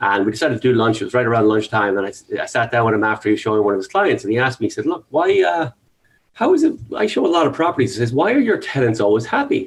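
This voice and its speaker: At a very fast pace, the words come out in an Irish accent. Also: man. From Ireland. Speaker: real estate agent. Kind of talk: interview. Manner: halting.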